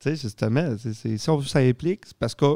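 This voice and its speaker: The voice has a dark, mellow tone, and the sound is dry and close with no echo. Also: man. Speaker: podcast host. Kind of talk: casual chat. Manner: animated.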